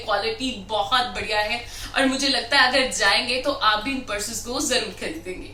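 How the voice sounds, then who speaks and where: A woman speaks in an enthusiastic tone at a high pitch, with ordinary pitch variation and hardly any pauses, over noticeable background noise. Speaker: anchor and professional voice artist. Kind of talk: casual vlog talk to camera. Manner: enthusiastic, chatty.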